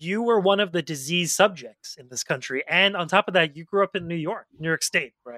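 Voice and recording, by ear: A fairly high, bright and sharp male voice at a fairly quick pace, ordinary pitch variation, dry and close with no echo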